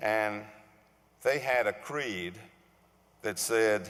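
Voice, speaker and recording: Speaking very slowly, a man with a Virginia accent uses a medium pitch. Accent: southern Virginia. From US South, Suffolk, Virginia. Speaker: award recipient, civic leader. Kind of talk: acceptance speech. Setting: stage with audience.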